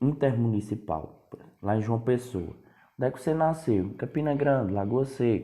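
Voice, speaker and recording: With a northeastern Brazilian accent, a man talks at a moderate pace in a medium pitch with ordinary pitch variation and a dark, mellow tone. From Northeast Brazil, Paraíba. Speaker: history teacher. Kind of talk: lecture. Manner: casual, conversational.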